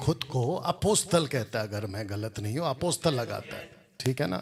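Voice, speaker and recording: A man's voice of medium pitch comes across as somewhat breathy. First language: Telugu (speaking Hindi). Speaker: Bible teacher. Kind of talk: religious rebuttal commentary. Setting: classroom with Bible college students.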